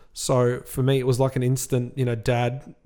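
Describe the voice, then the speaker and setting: A man speaks in a dark, mellow tone at a medium pitch, with an Australian accent. The recording is very clean, with a silent background. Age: 30s. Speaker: podcast co-host, car dealership manager. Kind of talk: casual chat.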